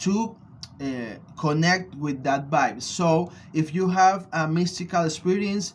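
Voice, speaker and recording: Speaking at a fairly slow pace, a man uses a high voice with ordinary pitch variation. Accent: Venezuelan. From Venezuela. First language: Spanish. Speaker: spiritual practitioner and vlogger. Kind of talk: personal video blog answering questions. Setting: studio. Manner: halting, many fillers.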